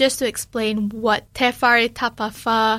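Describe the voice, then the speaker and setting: A woman at a very slow pace, fairly high in pitch with fairly even intonation, in a very clean recording with a silent background. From Malaysia. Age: 20s. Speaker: radio host and podcaster. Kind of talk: solo reflective talk.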